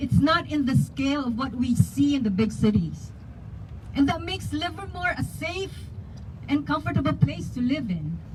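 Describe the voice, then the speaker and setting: A woman with a Filipino accent speaks at a moderate pace over noticeable background noise. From Philippines. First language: Tagalog. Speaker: community activist. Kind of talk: public speech at a rally.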